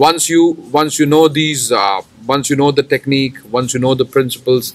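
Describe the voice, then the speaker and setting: A man with an Indian accent speaks at a fairly slow pace. His pitch is fairly high, with ordinary pitch variation. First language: Hindi. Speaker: English teacher. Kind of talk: tutorial. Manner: halting, with fillers and repetitions.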